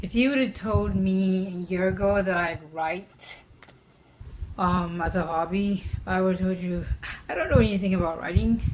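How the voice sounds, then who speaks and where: A woman with a non-native accent speaks at a fairly slow pace in a medium-pitched, somewhat breathy voice. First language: not English. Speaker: mental health vlogger. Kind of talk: personal vlog talk. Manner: hesitant, with fillers.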